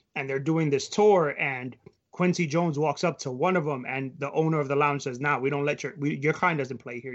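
Speaking very fast with an American accent, a man keeps his fairly high voice fairly even in intonation. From New York. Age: 30s. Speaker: sports blog writer. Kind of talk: casual discussion.

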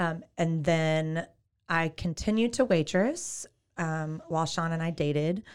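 A woman talks at a fairly slow pace and fairly low pitch in a Texan accent. The recording is very clean, with a silent background. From Texas, Waco. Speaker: realtor. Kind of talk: casual interview.

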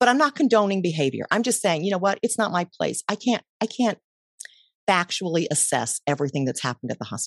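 Talking at a very fast pace with vocal fry, a woman at medium pitch makes very wide pitch swings, the sound dry and close with no echo. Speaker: mindfulness coach and podcaster. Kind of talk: interview conversation.

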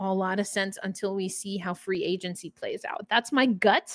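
In a very clean recording with a silent background and a dry, close sound free of echo, a woman with an American accent speaks with ordinary pitch variation. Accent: New York accent, slight, comes out at times. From New York. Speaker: sports podcast host. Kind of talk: solo podcast commentary. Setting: studio recording, also on video. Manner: casual, with fillers.

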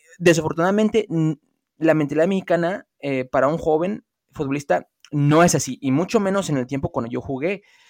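A plain, everyday voice moves along at a fairly quick pace. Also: man, fairly high pitch for a man, ordinary pitch variation. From US, Los Angeles, of Mexican heritage. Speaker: former footballer and football pundit. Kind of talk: casual debate.

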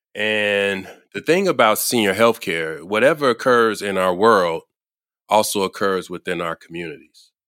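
A man speaks at a moderate pace in a fairly low voice. His tone is bright and sharp. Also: ordinary pitch variation, dry, close sound with no echo, very clean recording, silent background. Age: 50s. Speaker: senior care leadership consultant. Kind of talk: interview.

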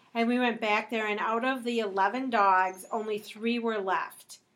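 Using a normal speaking voice, a woman speaks at a moderate pace with a fairly high pitch and fairly even intonation. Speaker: podcast co-host. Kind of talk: casual family chat.

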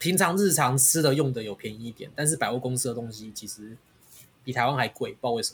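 This man talks very fast at a medium pitch, with a somewhat breathy voice. His loudness swings widely. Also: ordinary pitch variation. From Taiwan. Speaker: podcast host. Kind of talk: casual chat.

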